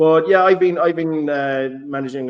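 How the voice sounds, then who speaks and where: A man speaks fairly quickly with fairly even intonation. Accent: Irish. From Ireland. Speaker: football blogger, podcast host. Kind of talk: casual chat. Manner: halting, frequent repetitions.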